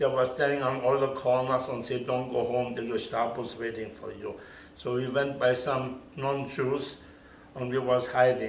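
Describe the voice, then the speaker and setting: A monotone, flat delivery at a fairly slow pace, with noticeable background noise and audible room echo. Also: man. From Germany. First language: German. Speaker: Holocaust survivor. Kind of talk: oral history interview. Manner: halting.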